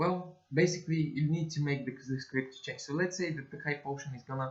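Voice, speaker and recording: With a non-native accent, a man talks at a fairly quick pace and fairly even intonation. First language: not English. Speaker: game development tutorial creator. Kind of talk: screen-recorded tutorial. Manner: halting, many fillers and self-corrections.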